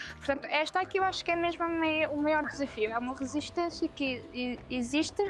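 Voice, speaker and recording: A woman at a moderate pace. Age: 20s. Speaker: feminist walking tour guide. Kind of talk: interview testimony. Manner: hesitant, frequent fillers.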